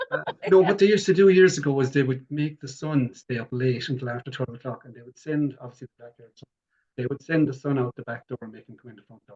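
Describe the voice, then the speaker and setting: In a Limerick accent, a man speaks at a very fast pace in a fairly high, somewhat breathy voice with a dark, mellow tone and ordinary pitch variation. His loudness swings widely, and the sound is dry and close with no echo. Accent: Irish, Limerick. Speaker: folklorist. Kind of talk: interview chat.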